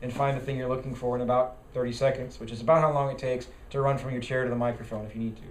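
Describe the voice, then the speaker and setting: A man with medium pitch talks at a very fast pace in monotone, flat intonation. Noticeable background noise and audible room echo surround him. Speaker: party bylaws committee chair and parliamentarian trainer. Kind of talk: training lecture.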